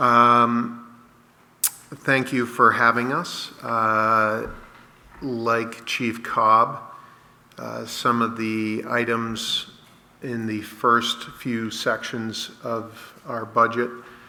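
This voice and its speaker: A man speaks at a very slow pace in a medium pitch, his intonation flat and monotone, with audible echo in the room. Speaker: fire chief. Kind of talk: budget presentation. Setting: town hall meeting. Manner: loud.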